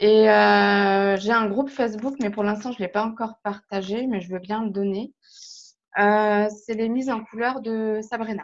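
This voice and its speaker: A woman talks at a fairly slow pace in a monotone, flat intonation against a quiet background. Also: fairly high pitch for a woman. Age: 30s. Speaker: hobbyist colourer, subscriber. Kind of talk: casual interview. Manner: hesitant, many fillers.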